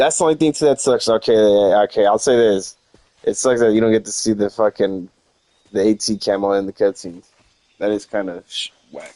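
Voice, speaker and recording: A man with a dark, mellow tone speaks at a fairly quick pace with ordinary pitch variation, the sound dry and close with no echo. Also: fairly low pitch for a man. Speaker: gaming streamer. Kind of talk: live gameplay commentary. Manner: casual, rambling.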